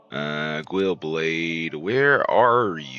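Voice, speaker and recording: A man with a very deep, low pitch speaks with lively intonation. There is noticeable background noise. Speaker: video game streamer. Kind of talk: casual chat. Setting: live stream. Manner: mumbling at times.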